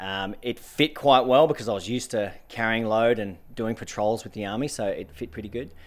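A man speaks at a fairly quick pace with hardly any pauses. His pitch sits in the medium range with ordinary pitch variation. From Australian outback, central Queensland and Northern Territory. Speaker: adventurer and author. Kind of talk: interview. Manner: energetic.

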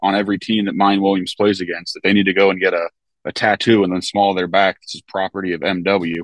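A man in a normal speaking voice, fairly low in pitch, at a fairly quick pace. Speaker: sports podcast guest. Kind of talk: casual chat. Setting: video call from a hotel parking lot.

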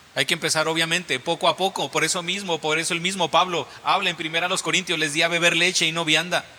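An animated voice rushes along at a very fast pace with hardly any pauses. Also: man, high pitch for a man. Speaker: preacher. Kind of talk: sermon, Bible reading then teaching; sermon, illustrative story about a boy learning karate. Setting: church. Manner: animated, repetitive, teaching with everyday illustrations.

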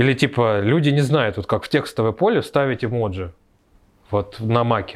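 A man with a plain, everyday voice talks at a moderate pace and medium pitch. The recording is very clean and the background silent. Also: ordinary pitch variation. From Moscow, Russia. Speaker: tech entrepreneur. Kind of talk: casual interview.

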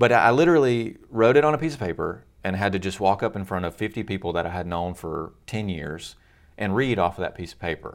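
At a very fast pace, a man with a Louisiana accent speaks at a fairly low pitch with lively intonation, in a very clean recording with a silent background. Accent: US Southern (Louisiana). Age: 30s. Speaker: student pastor. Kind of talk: casual interview.

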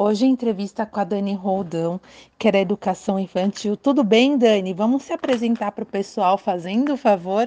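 A woman with a Brazilian accent, dark and mellow in tone, medium-pitched with ordinary pitch variation, at a moderate pace, in a dry, close recording with no echo and a quiet background. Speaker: education podcaster. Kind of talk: interview introduction. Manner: casual, with filler words.

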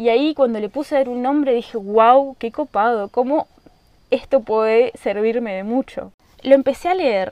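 A woman speaks at a moderate pace in a high-pitched voice. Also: ordinary pitch variation. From Argentina, rural Misiones. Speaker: podcast host. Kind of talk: casual monologue. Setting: at home in the countryside.

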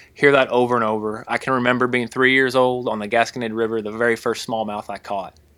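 A man talks at a very fast pace in an Ozarks accent, his medium-pitched voice bright and sharp. His intonation stays monotone and flat, and the recording is very clean with a silent background. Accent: Ozarks US southern-midland. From Missouri/Arkansas Ozarks. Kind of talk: casual chat.

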